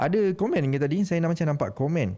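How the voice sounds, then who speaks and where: At a fairly quick pace, the speech carries a dark, mellow tone. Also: man. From Malaysia, Perak. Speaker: podcast host. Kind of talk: live podcast chat. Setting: live stream.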